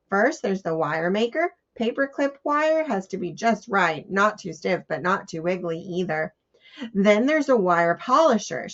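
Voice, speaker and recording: A woman puts on a raspy character voice at a medium pitch, talking at a moderate pace with very wide swings in pitch. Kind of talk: children's read-aloud. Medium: read story. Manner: theatrical, emphatic.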